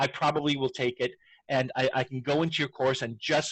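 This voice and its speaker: A normal speaking voice at a fairly quick clip, with fairly even intonation and a dry, close sound free of echo. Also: man. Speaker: educational technology trainer. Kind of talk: tutorial.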